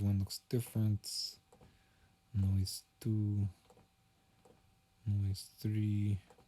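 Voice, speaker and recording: At a very slow pace with long, frequent pauses, a man speaks in a flat monotone at a fairly low pitch, his tone dark, mellow and somewhat breathy and his loudness very even. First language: not English. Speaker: music producer streamer. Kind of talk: live stream commentary. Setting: bedroom. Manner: casual, thinking aloud.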